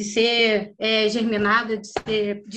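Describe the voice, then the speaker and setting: A woman's voice amid noticeable background noise. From Brazil, Rio de Janeiro (Campo Grande). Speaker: visual artist, printmaker. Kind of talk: casual interview.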